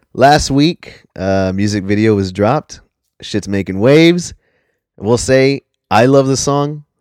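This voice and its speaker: A plain, everyday voice with lively intonation at a fairly slow pace, recorded dry and close with no echo. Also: man, medium pitch for a man. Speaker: podcast co-host. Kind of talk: casual chat. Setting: remote call with lag. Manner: profane, casual.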